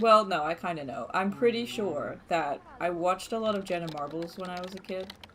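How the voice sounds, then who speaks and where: Hardly pausing, a woman with an American accent talks at a fairly quick pace and medium pitch, with ordinary pitch variation and big swings in loudness over noticeable background noise. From Australia, small country mining town. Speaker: gaming streamer. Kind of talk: casual live-stream commentary. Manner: casual, chatty.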